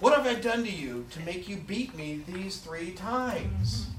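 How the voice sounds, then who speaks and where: A man uses a put-on character voice with a high pitch. He speaks at a moderate pace over clear background noise. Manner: cartoonish.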